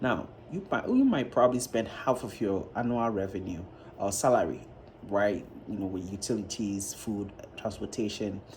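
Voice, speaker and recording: The speech moves at a moderate pace with fairly even intonation, and some room echo can be heard. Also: man, fairly low pitch for a man. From Ghana. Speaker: YouTuber, reaction vlogger. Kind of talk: casual vlog commentary.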